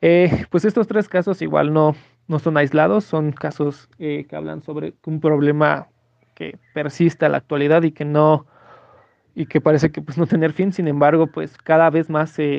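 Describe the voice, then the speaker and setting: Fairly high in pitch, a man is speaking. His intonation stays fairly even. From Mexico. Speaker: sports enthusiast and researcher of racism. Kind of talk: interview testimony. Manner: hesitant, many fillers.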